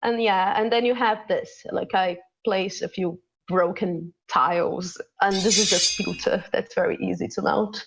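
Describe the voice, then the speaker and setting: Speaking fairly slowly, a woman talks with a Portuguese accent. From Brazil. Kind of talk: casual chat, demonstration. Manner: halting, searching for English words.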